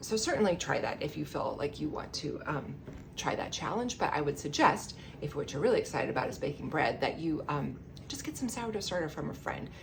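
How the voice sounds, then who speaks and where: Talking at a fairly quick pace, a woman is heard with audible room echo and noticeable background noise. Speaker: home baker teaching sourdough. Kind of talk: tutorial. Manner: fast; animated.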